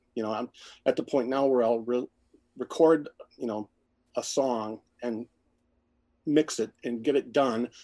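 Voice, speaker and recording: A man's medium-pitched voice with a dark, mellow tone at a moderate pace. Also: dry, close sound with no echo. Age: 50s. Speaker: musician and photographer. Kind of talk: casual chat.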